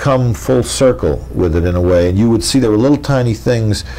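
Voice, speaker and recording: A man talks at a moderate speed. His pitch sits fairly low. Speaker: interviewee. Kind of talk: interview answer. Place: home room.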